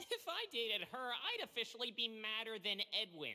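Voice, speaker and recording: A woman puts on a character voice, fairly high in pitch, quick-ish in pace and very even in loudness. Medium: video game.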